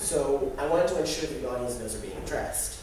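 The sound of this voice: Ordinary pitch variation with audible room echo. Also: man.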